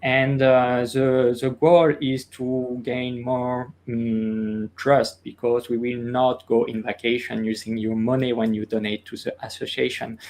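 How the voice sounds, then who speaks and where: Using monotone, flat intonation, a man speaks at a medium pitch and a fairly slow pace with hardly any pauses. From France, Orléans area. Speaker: castle curator. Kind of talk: interview. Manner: halting, many fillers.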